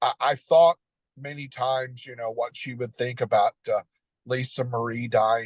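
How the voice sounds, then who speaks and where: At a moderate pace, a somewhat breathy man of medium pitch speaks with fairly even intonation and big swings in loudness, in a dry, close sound with no echo. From Tennessee, near Nashville. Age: 60s. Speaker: Elvis fan. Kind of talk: interview. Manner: halting, many fillers.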